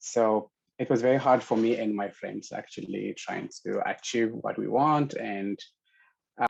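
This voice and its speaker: A man with an Ethiopian accent at a fairly slow pace. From Ethiopia, Addis Ababa. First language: Amharic. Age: 30s. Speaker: LGBTQ activist, storyteller. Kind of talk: personal storytelling.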